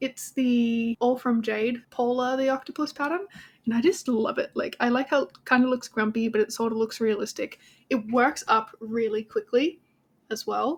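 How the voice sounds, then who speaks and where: Speaking at a moderate pace, a woman with an Australian accent has a high pitch and ordinary pitch variation. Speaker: crochet vlogger. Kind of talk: casual vlog chat. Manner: chatty.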